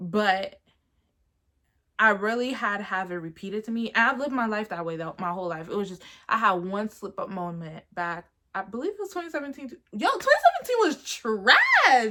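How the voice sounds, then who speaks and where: A woman with a bright, sharp tone and fairly high pitch speaks at a moderate pace, sounding animated, with big swings in loudness. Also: lively intonation. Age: 20s. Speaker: YouTuber. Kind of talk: casual vlog monologue. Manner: loud, animated.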